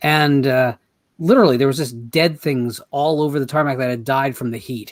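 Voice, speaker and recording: With an American accent, a man talks at a moderate pace in a fairly high pitch. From New Jersey. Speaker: horror author. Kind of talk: casual chat. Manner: animated.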